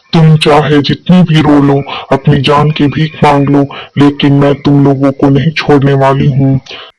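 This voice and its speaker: A man's cartoonish character voice, fairly high-pitched, in a flat monotone. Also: moderate pace. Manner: angry, menacing.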